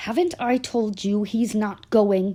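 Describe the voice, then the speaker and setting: A woman puts on a character voice with an angry tone, hissing at a medium pitch and a fairly slow pace. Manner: hissing, angry.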